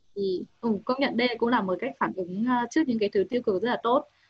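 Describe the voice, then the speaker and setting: A woman's fairly high voice at a very fast pace. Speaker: university student, audience member. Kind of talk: audience question. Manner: halting.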